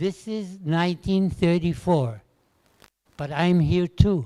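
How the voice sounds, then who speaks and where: A man's fairly high-pitched voice, dark and mellow in tone, at a very slow pace. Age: 80s+. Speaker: Holocaust survivor speaker. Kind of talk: testimony.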